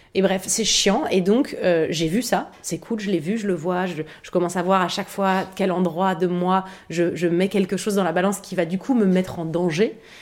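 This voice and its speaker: Against noticeable background noise, a woman at medium pitch speaks at a moderate pace with fairly even intonation. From Paris, 11th arrondissement. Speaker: actress and online video creator. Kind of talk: casual chat.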